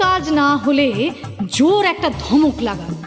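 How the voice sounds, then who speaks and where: A woman talks at a high pitch while music plays behind her. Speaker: reciter. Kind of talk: poetry reading.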